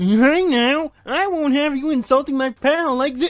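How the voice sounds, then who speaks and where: In a high-pitched, put-on character voice, the speaker goes at a moderate pace. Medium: game stream. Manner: loud, blustery.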